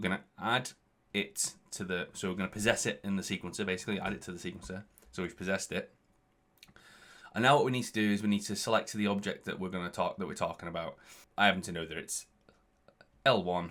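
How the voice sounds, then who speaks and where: Mumbling at a very fast pace with long, frequent pauses, a man speaks in a fairly low voice with fairly even intonation. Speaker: visual effects artist teaching Unreal Engine. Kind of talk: tutorial. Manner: halting, many restarts.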